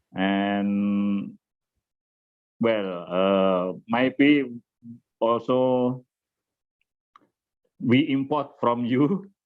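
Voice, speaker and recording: A man with a Javanese accent at a very slow pace, with long, frequent pauses and ordinary pitch variation. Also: medium pitch for a man. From Indonesia, Java. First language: Indonesian or Javanese. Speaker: nuclear society chairman. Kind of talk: webinar opening remarks. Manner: halting.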